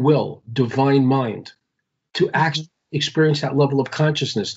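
Intonation remains fairly even. There is a somewhat breathy quality to the voice. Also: man. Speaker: Kabbalah teacher. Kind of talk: interview on spirituality. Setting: Skype call. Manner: halting, repeats words. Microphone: patchy connection.

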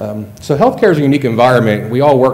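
A man talks at a very fast pace. Light background noise can be heard. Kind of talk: acceptance speech. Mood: slightly nervous, self-deprecating. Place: hall. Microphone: podium.

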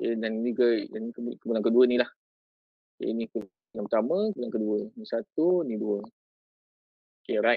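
Someone with a Malaysian accent speaks at a very fast pace in a dry sound with no echo, over a quiet background. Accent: Malaysian Malay. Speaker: teacher and education officer. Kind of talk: tutorial. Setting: video call. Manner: casual, code-switching. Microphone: video call.

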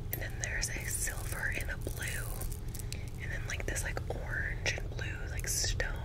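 A woman talks with loud background noise all around. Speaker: ASMR creator. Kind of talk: ASMR shopping haul. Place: home room. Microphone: studio mic.

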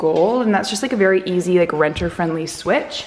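Ordinary pitch variation in a woman's voice. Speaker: vlogger. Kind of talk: casual vlog chat. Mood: excited, pleased. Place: kitchen. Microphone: phone near.

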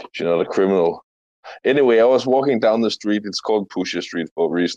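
A man with a normal speaking voice talks at a medium pitch with ordinary pitch variation, the sound dry and close with no echo over a quiet background. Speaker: crypto video creator. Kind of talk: casual chat. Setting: online audio room.

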